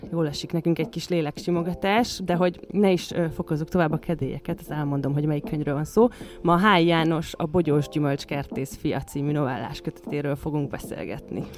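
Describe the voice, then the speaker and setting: Over noticeable background noise, a woman speaks fairly quickly in a very deep, low pitch with ordinary pitch variation. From western Hungary, Sopron county village. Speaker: podcast co-host. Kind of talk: casual chat.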